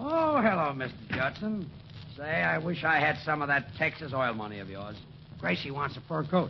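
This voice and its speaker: A man's voice swings widely in loudness. There is noticeable background noise. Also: moderate pace. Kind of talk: scripted radio comedy dialogue. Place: studio. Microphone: old recording.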